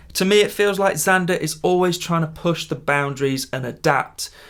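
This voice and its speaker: A man talks with a British accent. His pitch varies in an ordinary way. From UK. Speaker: guitar gear youtuber. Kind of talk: product showcase. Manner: casual, enthusiastic.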